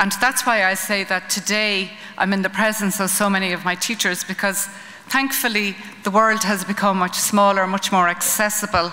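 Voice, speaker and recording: In an Irish accent, a woman of medium pitch speaks at a moderate pace with monotone, flat intonation over noticeable background noise. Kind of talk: conference talk. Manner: hesitant, many ums.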